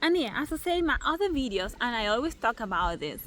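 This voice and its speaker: A woman speaks at a fairly quick pace with a non-native accent. Her pitch swings very widely. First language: not English. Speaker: spiritual content creator. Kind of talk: casual vlog monologue. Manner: halting, many fillers.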